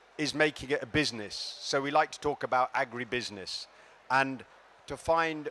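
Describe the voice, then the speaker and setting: The voice is loud and moves at a moderate pace. Its pitch varies in an ordinary way. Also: man. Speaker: development finance official. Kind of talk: conference speech. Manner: projecting loudly.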